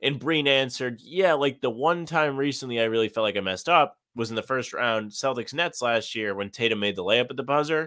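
A man's ordinary speaking voice, medium in pitch with ordinary pitch variation, at a fairly quick pace with hardly any pauses. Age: 20s. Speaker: sports podcast co-host. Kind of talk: casual chat.

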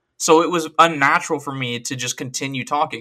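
His tone is animated, and the man's pitch sits fairly high. He keeps a moderate pace. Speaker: gaming podcast host. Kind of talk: solo casual monologue. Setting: home studio, microphone. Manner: loud.

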